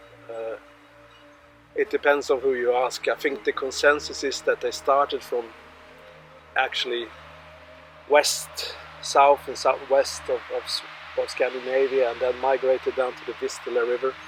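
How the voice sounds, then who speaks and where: A man speaks with a Swedish accent, leaving long, frequent pauses, his loudness swinging widely over music in the background. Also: moderate pace. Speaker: tour guide with history degree. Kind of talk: guided tour explanation. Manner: halting.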